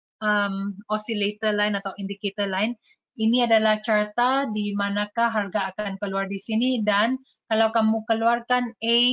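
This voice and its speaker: The speaker has a Malaysian accent and a monotone, flat intonation. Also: woman, fairly high pitch for a woman, moderate pace. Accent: Malaysian accent in Indonesian. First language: Malay or English (speaking Indonesian). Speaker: trading educator. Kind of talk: webinar tutorial. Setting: online webinar. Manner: code-switching, many fillers.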